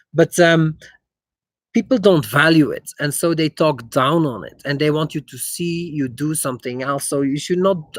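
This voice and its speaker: In a slight Dutch accent, a man with a fairly high pitch speaks at a fairly slow pace with ordinary pitch variation and big swings in loudness, on a very clean recording with a silent background and a dry, close sound with no echo. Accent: slight Germanic (Dutch) accent in English. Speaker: investor. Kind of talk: live stream Q&A. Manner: halting, many fillers.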